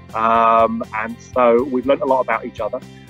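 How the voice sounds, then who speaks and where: Fairly even intonation comes through a dry sound with no echo, with faint music in the background. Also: man. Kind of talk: interview answer. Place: hall. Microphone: video call.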